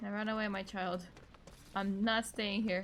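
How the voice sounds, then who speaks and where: A woman speaks at a moderate pace. Some room echo can be heard. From Australia. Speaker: streamer. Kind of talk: casual gameplay commentary. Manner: animated.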